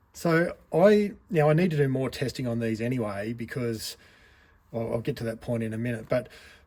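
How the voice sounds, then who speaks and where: Here a man speaks with an Australian accent at medium pitch. His pace is moderate and his pitch varies in an ordinary way. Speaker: RC hobby reviewer. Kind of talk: product review monologue. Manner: casual, conversational.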